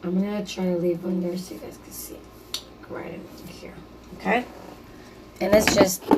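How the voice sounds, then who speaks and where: Over noticeable background noise and audible room echo, a woman at a medium pitch speaks at a moderate pace with ordinary pitch variation, big swings in loudness and long, frequent pauses. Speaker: DIY crafter, video creator. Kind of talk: tutorial. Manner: casual, halting with fillers.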